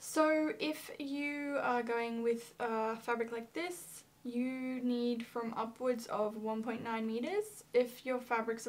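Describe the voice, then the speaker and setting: A woman speaks in an Australian accent. Her pitch is fairly high and her intonation fairly even. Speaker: fabric shop presenter. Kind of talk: product tutorial. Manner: casual, hesitant with many fillers.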